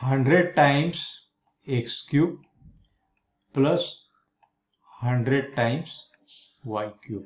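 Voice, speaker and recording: The man's pitch sits in the medium range. There is some breathiness to his voice. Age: 70s. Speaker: math teacher. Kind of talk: lecture.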